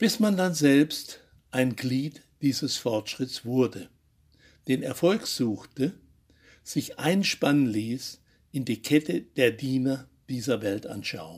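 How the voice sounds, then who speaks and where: Speaking at a very slow pace, a man leaves long, frequent pauses but keeps a lively intonation. The recording is very clean, with a silent background. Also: medium pitch for a man. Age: 80s+. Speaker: journalist, radio commentator. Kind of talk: scripted commentary.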